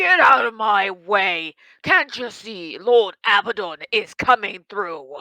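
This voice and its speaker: Using a put-on character voice, a woman speaks loud at a medium pitch. Her pace is fairly slow. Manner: brash, pushy.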